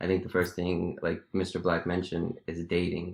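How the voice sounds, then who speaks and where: Someone with an American accent speaks at a moderate pace over a quiet background. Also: man. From US. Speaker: podcast co-host. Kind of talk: casual chat.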